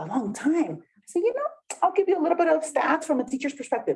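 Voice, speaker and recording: At a very fast pace, a woman with a Spanish accent talks in an animated tone. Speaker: workshop facilitator. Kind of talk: community workshop presentation.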